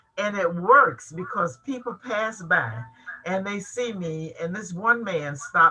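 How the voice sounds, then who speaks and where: Noticeable background noise beneath a woman's voice of medium pitch. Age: 80s+. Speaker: journalist. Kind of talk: panel discussion. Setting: video call.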